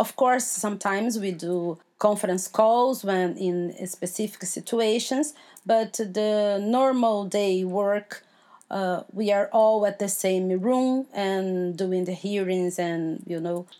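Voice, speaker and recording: With a Portuguese accent, a woman speaks very slowly at a medium pitch, her tone dark and mellow and her intonation fairly even. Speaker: judge and law professor. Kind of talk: interview. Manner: halting, many fillers and repeats.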